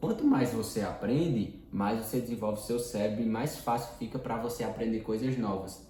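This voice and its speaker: Amid audible room echo, a man speaks at a moderate pace in a medium pitch. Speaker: personal development teacher. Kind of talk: lecture. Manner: casual.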